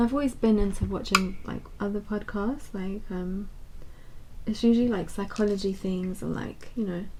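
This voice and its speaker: A quiet woman's voice, medium in pitch, at a fairly slow pace with fairly even intonation and audible room echo. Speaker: beauty youtuber. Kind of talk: casual chat.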